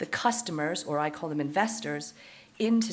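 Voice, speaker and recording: Audible room echo surrounds a woman speaking at a moderate pace. Her pitch is very deep and low, and her intonation is lively. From Canada. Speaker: fund manager. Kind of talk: conference presentation.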